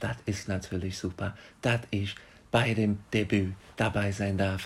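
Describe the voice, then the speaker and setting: Somewhat breathy and fairly low-pitched, a man speaks at a fairly slow pace in a monotone, flat intonation. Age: 20s. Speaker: management consultant and podcast co-host. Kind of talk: casual chat. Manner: hesitant, many fillers.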